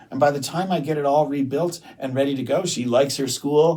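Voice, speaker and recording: A man with an American accent at a moderate pace, against noticeable background noise. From US Midwest, Detroit, Michigan. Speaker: restaurant owner and entrepreneur. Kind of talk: interview podcast. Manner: conversational, relaxed.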